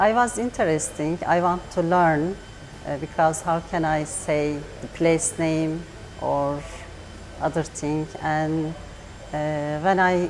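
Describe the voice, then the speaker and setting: A woman speaks at a very slow pace in a fairly low pitch. Noticeable background noise runs underneath. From Turkey. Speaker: adult language learner. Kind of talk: interview. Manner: halting.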